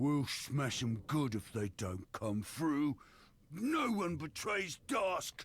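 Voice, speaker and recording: A man's growling put-on character voice, fairly high in pitch, with very wide pitch swings at a very slow pace. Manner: gruff, threatening.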